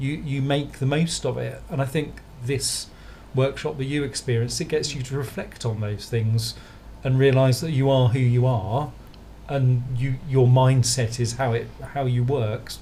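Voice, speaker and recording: A man's somewhat breathy voice at medium pitch with an English accent, fairly even intonation and a moderate pace. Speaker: designer. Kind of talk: podcast interview.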